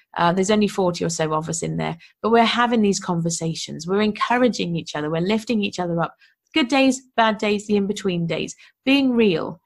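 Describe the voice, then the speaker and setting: Speaking with a British accent, a woman moves at a fairly quick pace. Her medium-pitched voice has lively intonation. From UK. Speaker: podcast host and online business coach. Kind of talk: solo podcast monologue. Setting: recording alone for podcast. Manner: casual, enthusiastic.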